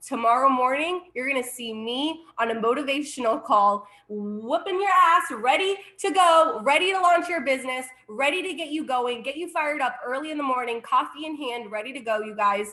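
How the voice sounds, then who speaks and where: Animated and raised to carry, a woman's high voice moves with lively intonation. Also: moderate pace. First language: Spanish. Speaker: network marketing director. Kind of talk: sales pitch.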